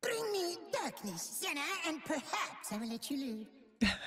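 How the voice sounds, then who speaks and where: A put-on character voice, high in pitch, with very wide pitch swings at a moderate pace. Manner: menacing, taunting.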